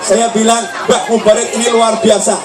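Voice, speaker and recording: Music plays in the background as a man speaks with audible room echo. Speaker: Islamic preacher. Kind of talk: sermon. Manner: slow.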